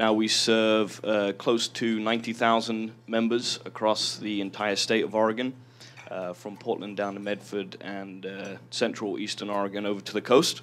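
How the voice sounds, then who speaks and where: In an English accent, a man talks with a fairly low voice at a moderate pace. His intonation is monotone and flat. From southern England. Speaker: credit union lender. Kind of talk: panel introduction.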